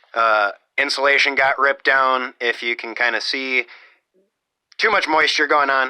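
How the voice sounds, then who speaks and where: The speaker is loud, keeps a moderate pace with ordinary pitch variation, and leaves long, frequent pauses. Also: man, medium pitch for a man. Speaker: off-grid homesteader vlogger. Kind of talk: casual video walkthrough. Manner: halting, many fillers. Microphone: close to the microphone, loud.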